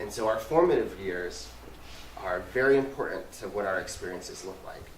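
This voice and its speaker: A man speaks at a moderate pace, his loudness swinging widely. Audible room echo and noticeable background noise fill the recording. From US Southwest, New Mexico and West Texas. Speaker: community relations manager. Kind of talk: talk to a community group.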